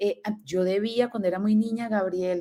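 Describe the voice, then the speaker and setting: A woman's fairly high voice, dark and mellow in tone, at a very fast pace with ordinary pitch variation. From Colombia. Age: 40s. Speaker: entrepreneurship mentor. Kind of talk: casual chat.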